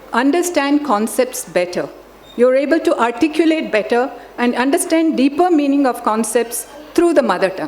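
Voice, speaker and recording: Against noticeable background noise, a woman with a Telugu accent speaks at a high pitch and moderate pace with lively intonation. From grew up in many countries, Indian family. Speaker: education expert, chief guest. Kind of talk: formal speech. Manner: formal.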